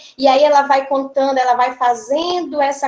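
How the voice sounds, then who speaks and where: High pitch and fairly even intonation from a woman. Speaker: school coordinator, early childhood educator. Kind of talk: seminar presentation. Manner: halting, many repetitions and fillers.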